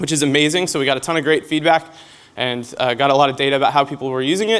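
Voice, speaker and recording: Noticeable background noise behind very fast talking with ordinary pitch variation. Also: man, fairly high pitch for a man. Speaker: game designer at a convention. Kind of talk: conference presentation.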